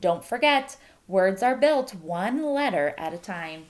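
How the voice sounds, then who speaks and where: Using a put-on character voice, a woman speaks at a fairly slow pace with a medium pitch. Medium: read story. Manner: chirpy, enthusiastic.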